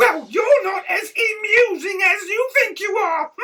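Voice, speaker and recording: A man does a cartoonish character voice at an extremely high pitch. He speaks at a fairly slow pace. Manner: indignant.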